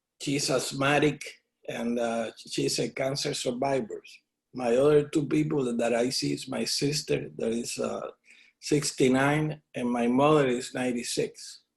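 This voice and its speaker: The man's voice is medium in pitch and somewhat breathy. He speaks at a fairly slow pace with monotone, flat intonation. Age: 60s. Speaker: artist. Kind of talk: oral history interview. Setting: at home studio. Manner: halting, many fillers.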